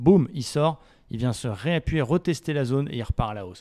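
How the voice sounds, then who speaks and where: A dark, mellow tone with lively intonation, dry and close with no echo, in a very clean recording with a silent background. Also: man. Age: 30s. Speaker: trading educator. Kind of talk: casual market analysis video.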